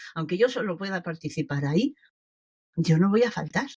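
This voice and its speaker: A woman speaks at a moderate pace in a fairly low, somewhat breathy voice with very wide pitch swings. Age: 70s. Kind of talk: interview answer.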